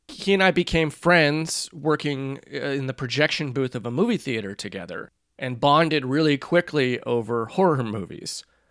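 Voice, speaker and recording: With a normal speaking voice and lively intonation, a man is heard in a dry, close sound with no echo. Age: 40s. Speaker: horror history podcast host. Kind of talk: casual chat.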